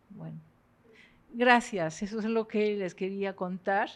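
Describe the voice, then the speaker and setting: A woman speaks with a French accent. The background is quiet. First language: French (speaking Spanish). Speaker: literature professor. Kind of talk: lecture. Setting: university lecture hall with audience. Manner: halting.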